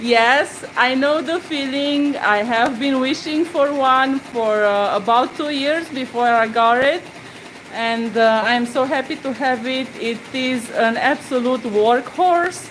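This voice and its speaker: With a Romanian accent, a woman talks at a very slow pace in a high pitch with ordinary pitch variation, over noticeable background noise. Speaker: embroidery tutor. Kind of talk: live-stream tutorial. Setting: home studio, live stream. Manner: halting.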